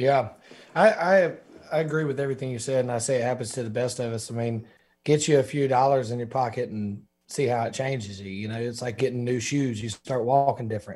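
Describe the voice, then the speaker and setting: Speaking at a very fast pace in a Southern US accent, a somewhat breathy man keeps a medium pitch with ordinary pitch variation. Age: 30s. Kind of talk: casual interview.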